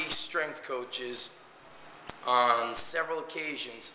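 A man's voice with fairly even intonation, light background noise and audible room echo. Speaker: strength coach. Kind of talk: casual vlog chat. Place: gym. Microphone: phone near.

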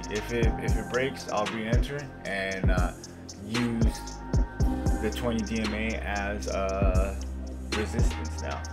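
With loud music in the background, a man talks at a very slow pace, leaving long, frequent pauses. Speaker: day trader. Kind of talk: trade recap screen-share commentary. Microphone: webcam.

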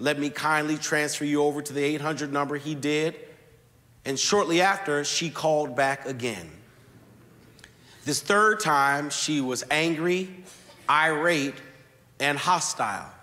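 Long, frequent pauses break up speech that has a bright, sharp tone. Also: man, ordinary pitch variation. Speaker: pastor. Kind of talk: sermon. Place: church. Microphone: lapel.

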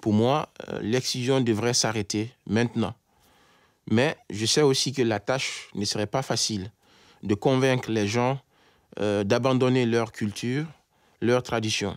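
A man at a very slow pace, with long, frequent pauses and fairly even intonation, in a dry sound with no echo against a quiet background. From Guinea, Conakry. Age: 30s. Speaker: engineer and anti-FGM campaigner. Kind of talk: testimony. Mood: serious, earnest. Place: studio.

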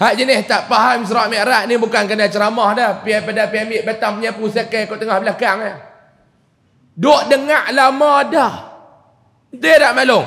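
Against a quiet background, a man speaks with a Kedah accent at a high pitch. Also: fairly even intonation, moderate pace. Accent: northern Malay (Kedah) dialect. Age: 30s. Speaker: preacher. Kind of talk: religious lecture. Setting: mosque with audience. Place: church. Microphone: headset.

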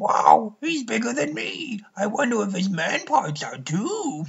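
This is a put-on character voice at a fairly high pitch. It moves at a fairly slow pace with very wide pitch swings. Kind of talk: parody abridged dub. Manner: goofy, jokey.

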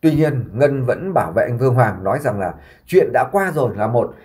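A man talks fairly quickly, his voice showing vocal fry and swinging very widely in pitch. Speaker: YouTube vlogger. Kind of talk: commentary monologue.

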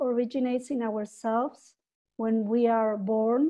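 A woman's high pitch, Spanish accent, fairly slow pace, and quiet background. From Peru. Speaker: webinar presenter. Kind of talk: webinar presentation. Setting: video call. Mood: warm, gentle. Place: home room. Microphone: video call.

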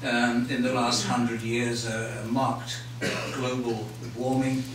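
A man at a medium pitch speaks very slowly in a flat monotone, with noticeable background noise and audible room echo. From England. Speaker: glaciologist giving a public lecture. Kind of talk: lecture. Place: hall.

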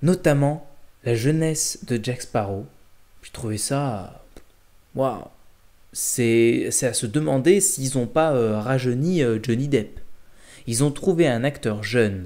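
Over a quiet background, a man with a dark, mellow tone and lively intonation speaks at a very slow pace with long, frequent pauses. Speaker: film reviewer. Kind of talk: casual vlog chat, film review. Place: home room. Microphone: webcam.

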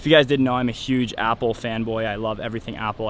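Very fast speech from a man, fairly even in intonation, dry with no echo, over background music. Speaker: travel vlogger. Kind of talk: casual vlog chat. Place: street. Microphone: phone near.

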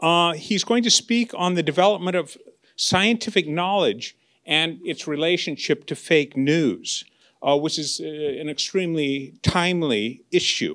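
Over a quiet background, a high-pitched man talks at a fairly slow pace with ordinary pitch variation. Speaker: lecture host introducing speaker. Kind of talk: speaker introduction. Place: hall. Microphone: handheld.

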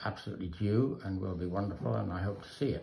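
A fairly low-pitched man's voice, dark and mellow in tone and somewhat breathy, with audible room echo and light background noise. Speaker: sculptor. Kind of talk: casual chat. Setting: studio. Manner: halting. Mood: admiring, relaxed. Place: workshop. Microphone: phone near.

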